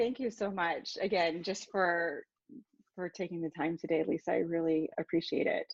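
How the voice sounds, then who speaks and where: The sound is dry and close with no echo as a woman talks in a plain, everyday voice. She keeps a moderate pace at a fairly low pitch with ordinary pitch variation. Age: 40s. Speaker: podcast host. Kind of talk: interview conversation.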